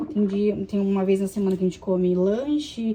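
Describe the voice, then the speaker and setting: Noticeable background noise runs behind a woman speaking at medium pitch. She keeps a moderate pace with ordinary pitch variation. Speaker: vlogger, mother. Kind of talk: casual vlog chat while cleaning. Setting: at home, kitchen sink. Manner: casual, chatty.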